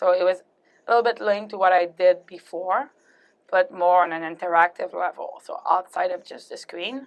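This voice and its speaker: With a French Canadian accent, a woman speaks at a moderate pace and medium pitch, her loudness swinging widely while her pitch varies in an ordinary way. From Quebec, Canada. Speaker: executive producer in show production. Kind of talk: interview. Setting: interview booth at a trade fair.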